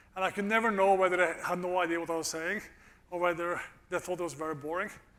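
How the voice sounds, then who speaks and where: Very fast and high-pitched, a man speaks in a bright, sharp tone with fairly even intonation, and audible room echo surrounds him. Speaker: economics professor. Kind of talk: lecture. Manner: casual, with frequent fillers.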